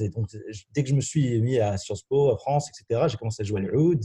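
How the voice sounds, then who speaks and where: At a moderate pace, a man with a dark, mellow, somewhat breathy tone speaks with ordinary pitch variation. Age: 20s. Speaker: university student. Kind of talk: casual chat.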